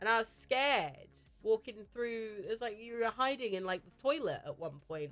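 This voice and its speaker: A woman speaks with a British accent. Her pitch is fairly high and her pace fairly quick. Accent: British accent, noted by chat. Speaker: streamer. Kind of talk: casual chat. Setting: live stream. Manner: fumbles words.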